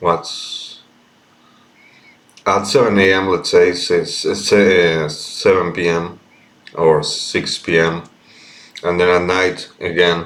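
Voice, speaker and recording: Pausing long and often, a man with an Argentine accent speaks at a very slow pace. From Argentina. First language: Spanish. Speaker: vlogger. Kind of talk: casual monologue. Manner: halting.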